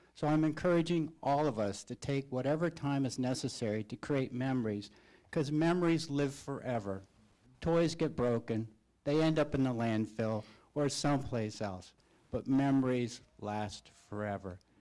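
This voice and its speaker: The tone is dark and mellow, the pace moderate, and the recording very clean with a silent background. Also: man, medium pitch for a man, ordinary pitch variation. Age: 60s. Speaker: school board member. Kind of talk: public meeting remarks. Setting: board meeting.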